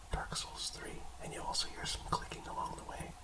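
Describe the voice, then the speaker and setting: A whisper at a moderate pace amid noticeable background noise. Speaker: gaming YouTuber. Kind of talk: reading aloud; casual chat. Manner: whispering.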